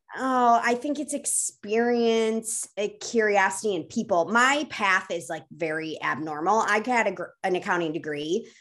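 A woman with an American accent speaks with ordinary pitch variation while music plays in the background. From US Midwest. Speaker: food company co-founder. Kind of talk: casual interview.

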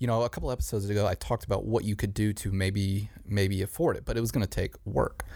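Over a silent background in a very clean recording, a man speaks at a very fast pace with hardly any pauses, his fairly low, dark, mellow voice showing vocal fry and ordinary pitch variation. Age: 20s. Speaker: podcast host. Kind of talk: casual chat. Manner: animated.

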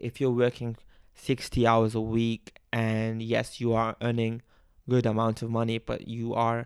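The delivery is monotone with flat intonation and a fairly slow pace. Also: man. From Bangladesh. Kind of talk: solo podcast monologue. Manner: halting, nervous; uses fillers like uh and um.

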